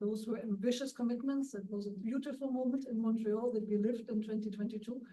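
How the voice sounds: A woman's fairly high voice with a dark, mellow tone, fairly even intonation and a fairly quick pace, in audible room echo.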